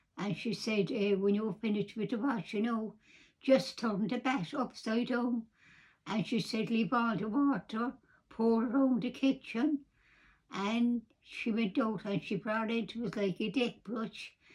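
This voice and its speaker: A woman talks at a fairly slow pace in a fairly high, somewhat breathy voice with ordinary pitch variation. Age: 80s+. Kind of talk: personal storytelling.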